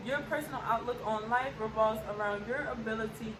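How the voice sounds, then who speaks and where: Fairly high in pitch, a woman talks at a moderate pace. Noticeable background noise and audible room echo surround her voice. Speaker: astrology YouTuber. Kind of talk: informal tutorial.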